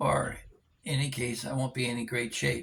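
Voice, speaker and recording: The pace is fairly quick. Vocal fry runs through the voice. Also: man. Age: 70s. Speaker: vlogger. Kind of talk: casual monologue vlog. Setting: indoors at home. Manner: halting with many fillers.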